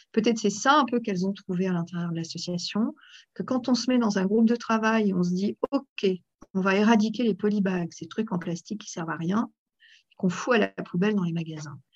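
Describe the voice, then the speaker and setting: A somewhat breathy woman's voice at medium pitch, with a fairly quick pace and ordinary pitch variation. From France, Aveyron then Paris. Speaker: association president. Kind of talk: interview. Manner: animated; hesitant, many fillers.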